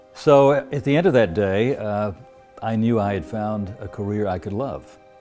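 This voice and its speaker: Over music in the background, a man speaks with lively intonation. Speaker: TV news anchor. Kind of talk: interview answer. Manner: steady.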